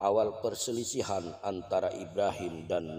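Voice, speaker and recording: The man's delivery comes at a fairly slow pace. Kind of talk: religious story narration (prophet stories).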